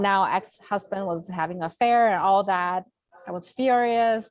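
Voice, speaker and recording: Speaking in a Chinese accent, a woman keeps a medium pitch, fairly even intonation and a moderate pace. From China. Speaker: Reiki healer and former accountant. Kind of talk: conversational interview. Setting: video call.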